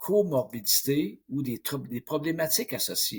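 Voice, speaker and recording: A man with a Quebec accent at a fairly slow pace. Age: 60s. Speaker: mental coach. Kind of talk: interview.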